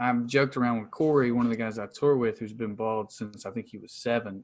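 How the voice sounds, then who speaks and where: A man talks at a medium pitch with ordinary pitch variation. He keeps a moderate pace. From US South, rural Tennessee (Appalachia). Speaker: stand-up comedian. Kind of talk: casual chat. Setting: remote call.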